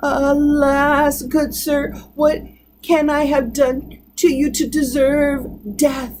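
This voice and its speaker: A woman's put-on character voice, high-pitched and shaky, very slow, with monotone, flat intonation. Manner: trembling, fearful.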